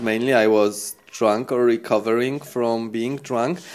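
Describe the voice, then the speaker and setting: With a Polish accent, a man talks at a medium pitch. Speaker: fashion designer and shop owner. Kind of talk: casual interview chat. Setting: in a fashion shop.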